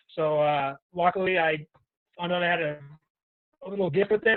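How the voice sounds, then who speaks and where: A man with a strong Boston accent and fairly even intonation. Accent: Boston accent, heavy. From Boston, Massachusetts. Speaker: professional hockey player. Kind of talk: podcast interview.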